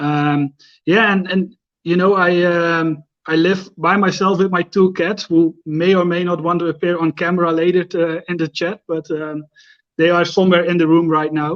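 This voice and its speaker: Speaking at a moderate pace in a Dutch accent, a man with high pitch keeps a monotone, flat intonation, the sound dry and close with no echo. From Netherlands, near the Belgian border. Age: 30s. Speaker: Instagram fragrance creator, psychiatric care manager. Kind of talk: live stream interview. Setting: at home, live stream.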